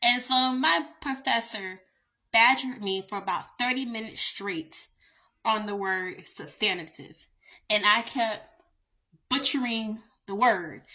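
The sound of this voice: This woman talks slowly at a fairly high pitch, with ordinary pitch variation and a bright, sharp tone.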